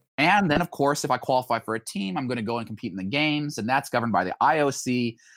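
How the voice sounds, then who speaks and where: In an American accent, an ordinary speaking voice comes through with lively intonation on a very clean recording with a silent background and a dry, close sound with no echo. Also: man. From Idaho (Boise). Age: 30s. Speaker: former Olympic runner and entrepreneur. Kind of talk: interview chat.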